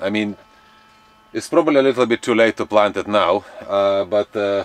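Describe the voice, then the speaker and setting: Recorded dry with no echo, a man's voice is heard. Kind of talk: casual vlog chat. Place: garden. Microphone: camera far.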